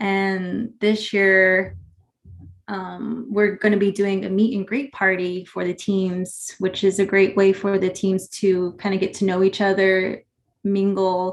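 A woman's fairly slow speech in a monotone, flat intonation at a medium pitch. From New Mexico, Navajo Nation (Farmington area). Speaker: basketball tournament director. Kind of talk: casual interview.

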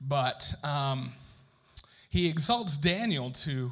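In a room with audible echo, a man speaks very slowly in a somewhat breathy, fairly high voice with ordinary pitch variation. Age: 30s. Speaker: pastor. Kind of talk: sermon. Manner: animated.

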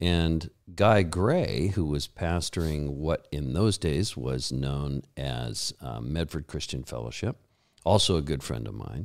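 A man with a very deep, low pitch and lively intonation at a very slow pace, in a very clean recording with a silent background. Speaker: pastor and Bible college teacher. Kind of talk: interview conversation. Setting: studio.

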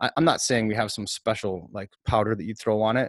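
A man talks at a fairly quick pace in a normal speaking voice with fairly low pitch. The recording is very clean with a silent background, dry and close with no echo. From Minnesota (Maple Grove). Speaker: podcast co-host. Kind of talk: casual chat.

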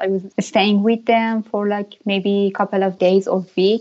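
This woman has a Persian accent and medium pitch. Her intonation is fairly even. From Iran, Tehran. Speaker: painter. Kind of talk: interview. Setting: remote call.

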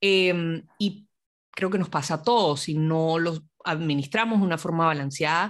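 A very clean recording, silent background, with a woman in a normal speaking voice at a fairly low pitch, moderate pace and ordinary pitch variation. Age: young. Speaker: podcast host. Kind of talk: interview.

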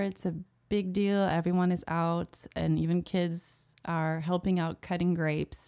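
A woman with a French accent speaks in monotone, flat intonation at a fairly low pitch with a dark, mellow tone, on a very clean recording with a silent background. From France, Alsace (Colmar area). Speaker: freelance translator. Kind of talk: casual interview chat. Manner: hesitant with fillers.

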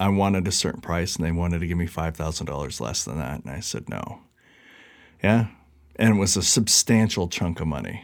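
A man with an American accent talks at a very deep, low pitch with vocal fry. His pace is fairly quick, his intonation lively, and the recording very clean with a silent background. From Seattle area, US Pacific Northwest. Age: 40s. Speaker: music magazine founder and editor. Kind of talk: casual interview. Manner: casual with many fillers.

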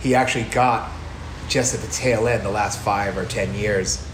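With an American accent, a man talks at a moderate pace and lively intonation while noticeable background noise runs underneath. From US. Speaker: bar owner and brewer. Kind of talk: casual interview chat.

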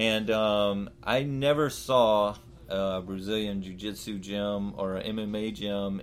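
A very slow pace with audible room echo. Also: man. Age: 30s. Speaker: podcast host. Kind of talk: casual interview. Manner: halting, many fillers.

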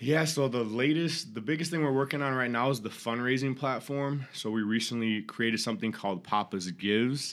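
A man's plain, everyday voice with an American accent, medium in pitch, fairly quick with hardly any pauses, very even in loudness, with ordinary pitch variation. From Minnesota, Rochester. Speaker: small business owner. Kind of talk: interview.

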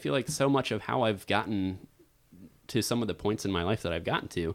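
A man's fairly quick speech with lively intonation, on a very clean recording with a silent background. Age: 30s. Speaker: voice actor and musician. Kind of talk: casual chat.

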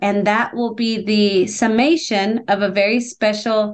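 A woman with an American accent speaks in a normal speaking voice, fairly high in pitch with fairly even intonation, against a quiet background. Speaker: nonprofit executive director. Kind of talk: casual interview chat.

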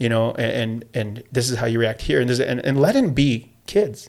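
This man has an American accent and a medium pitch. He moves at a fairly quick pace with fairly even intonation. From Southern California, Escondido. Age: 40s. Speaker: PE teacher and coach. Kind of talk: casual interview. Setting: studio.

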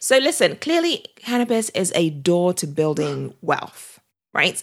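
On a very clean recording with a silent background, a woman with a British accent speaks at a fairly low pitch and moderate pace. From Britain. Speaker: podcast host. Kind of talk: interview.

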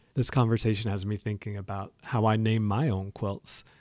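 A man's medium-pitched voice at a moderate pace with an American accent, warm and enthusiastic in tone, on a very clean recording with a silent background. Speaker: podcast host. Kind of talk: podcast episode recap, scripted-style chat. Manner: warm, enthusiastic.

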